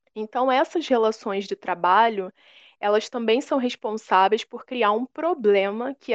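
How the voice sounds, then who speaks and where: At a moderate pace, a woman with a fairly high pitch uses an unremarkable speaking voice with ordinary pitch variation. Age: 20s. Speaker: history teacher. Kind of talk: lecture.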